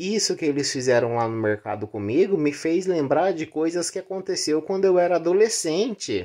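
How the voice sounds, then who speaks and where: Over a quiet background, a woman with a dark, mellow, fairly low voice and vocal fry swings her pitch very widely while hardly pausing at all. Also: moderate pace. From Brazil, rural area. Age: 30s. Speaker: vlogger. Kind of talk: personal vlog confession. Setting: in bed at home. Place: home room. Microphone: phone near.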